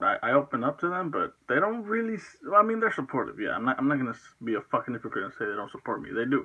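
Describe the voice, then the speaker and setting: Talking at a very fast pace with hardly any pauses, a man with a fairly high voice swings very widely in pitch. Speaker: vlogger. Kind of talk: personal vlog monologue. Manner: stuttering, halting; unscripted, rambling hesitations.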